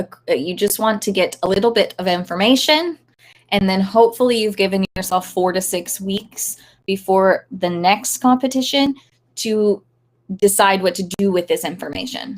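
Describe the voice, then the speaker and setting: Medium-pitched female speech in a normal speaking voice, at a moderate pace and with ordinary pitch variation. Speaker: dog agility trainer. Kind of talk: live stream talk. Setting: live stream. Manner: unscripted, many fillers.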